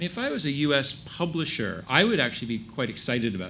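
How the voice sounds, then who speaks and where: Talking at a very fast pace, a man with an American accent has a fairly high pitch, a bright, sharp tone, and vocal fry. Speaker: ad tech industry panelist. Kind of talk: panel discussion.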